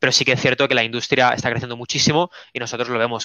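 A man at a medium pitch. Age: 20s. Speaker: esports team co-founder. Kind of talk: interview.

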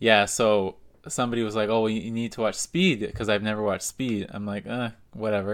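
Against a silent background in a very clean recording, a man uses a normal speaking voice at medium pitch, fairly quick and with fairly even intonation. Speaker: podcast co-host. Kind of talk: casual chat.

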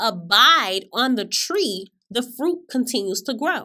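A woman's high, bright, sharp voice with an American accent, very slow and full of very wide pitch swings, on a very clean recording with a silent background. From Florida. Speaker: podcast host giving sermons. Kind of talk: sermon.

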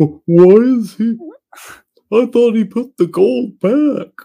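A man uses a put-on character voice at a high pitch. He speaks very slowly. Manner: dim, naive.

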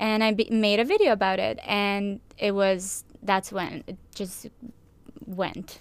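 With fairly even intonation, a woman talks very slowly. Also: medium pitch for a woman. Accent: non-native. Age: 20s. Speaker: YouTuber and nutritionist. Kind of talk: casual chat.

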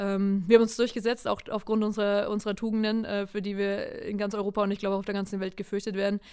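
Very fast and with hardly any pauses, a woman speaks in a dark, mellow tone with monotone, flat intonation. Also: medium pitch for a woman. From Lower Franconia, Germany (Würzburg area). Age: 30s. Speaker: national youth football coach. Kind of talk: interview.

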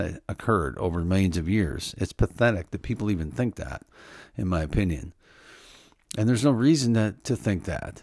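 A man with an unremarkable speaking voice, fairly low pitch, and lively intonation, in a very clean recording with a silent background. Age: 50s. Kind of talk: Bible teaching talk. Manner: casual, conversational.

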